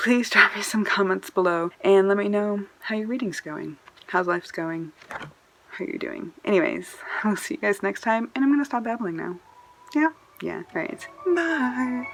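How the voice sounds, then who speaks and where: A woman talks at a medium pitch with very wide pitch swings. Noticeable background noise runs underneath. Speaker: book vlogger. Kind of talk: casual monologue to camera. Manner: fast.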